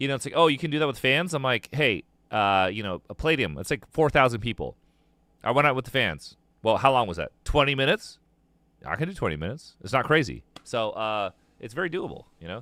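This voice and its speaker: Man with an American accent, medium pitch and a bright, sharp tone, vocal fry, very wide pitch swings, very fast pace, dry and close with no echo, in a very clean recording with a silent background. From US, San Diego, California. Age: 40s. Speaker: musician and streamer. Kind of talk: casual chat. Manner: casual, frequent fillers and restarts.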